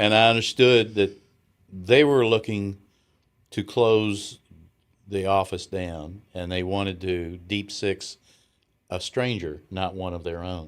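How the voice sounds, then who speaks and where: With long, frequent pauses and a very slow pace, a man talks in a fairly low pitch with a strong Southern US accent on a very clean recording with a silent background. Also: ordinary pitch variation. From US South. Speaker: retired businessman. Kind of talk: interview. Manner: halting.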